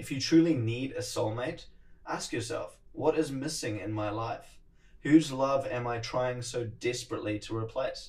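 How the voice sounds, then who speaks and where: Speaking with a New Zealand accent, a man has a somewhat breathy, medium-pitched voice with ordinary pitch variation and big swings in loudness. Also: moderate pace. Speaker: podcast host. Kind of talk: solo monologue podcast. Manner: casual, conversational.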